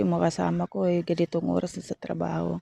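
A woman talking at a very fast pace, the sound dry and close with no echo. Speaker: vlogger and sari-sari store owner. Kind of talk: casual vlog.

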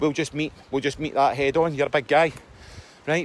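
A man with a Scottish accent speaks at a fairly high pitch. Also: dry sound with no echo. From Scotland. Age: 40s. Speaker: self-help vlogger. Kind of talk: casual monologue. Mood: earnest, reflective. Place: forest. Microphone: phone near.

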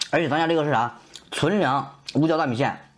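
Talking at a very fast pace, a man speaks. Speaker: food streamer selling snacks. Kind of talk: street seller pitch. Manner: loud, hyped, fast-talking; animated, folksy, repeating 家人们 and 铁子们. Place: home room. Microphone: lapel.

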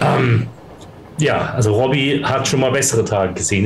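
With audible room echo, a man talks at a moderate pace in a medium pitch.

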